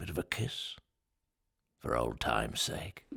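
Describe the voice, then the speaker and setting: A man's put-on character voice, whispering and raspy, at a fairly slow pace with a dry, close sound and no echo. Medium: audio drama.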